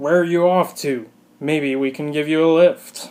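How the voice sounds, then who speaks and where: A man's put-on character voice, fairly high in pitch, at a moderate pace with ordinary pitch variation. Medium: read story. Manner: taunting, menacing.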